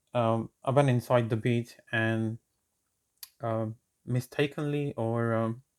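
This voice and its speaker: A man's medium-pitched, monotone voice with a non-native accent, very slow with long, frequent pauses, in a dry, close sound with no echo. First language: not English. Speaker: networking tutor, channel owner. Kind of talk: tutorial. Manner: hesitant, many fillers.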